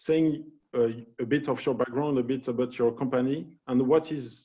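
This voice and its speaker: Speaking in a French accent, a man has a dark, mellow tone and medium pitch. His pace is moderate and his pitch varies in an ordinary way. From France. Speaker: panel moderator. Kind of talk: panel moderation.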